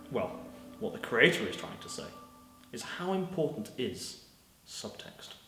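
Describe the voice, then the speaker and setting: A man with a British accent speaks fairly slowly in a high pitch, taking long, frequent pauses, his pitch swinging very widely and his loudness rising and falling sharply. Noticeable background noise and audible room echo fill the recording. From Britain. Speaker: narrator. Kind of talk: scripted narration. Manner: formal.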